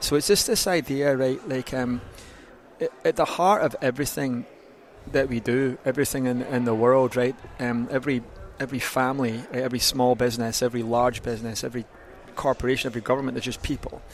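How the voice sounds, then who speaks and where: A man with a Scottish accent, medium in pitch, at a very fast pace with fairly even intonation. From Scotland. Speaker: gym owner and fitness consultant. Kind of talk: podcast interview.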